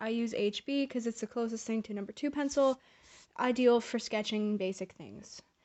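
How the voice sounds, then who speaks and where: High pitch from a woman, fairly quick pace and ordinary pitch variation. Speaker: art tutorial youtuber. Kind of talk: tutorial; casual chat. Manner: casual.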